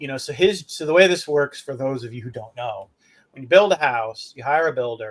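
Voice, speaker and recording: Using a normal speaking voice, a man talks at a fairly quick pace and medium pitch, with lively intonation and big swings in loudness. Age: 60s. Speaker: podcast co-host. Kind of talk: casual chat.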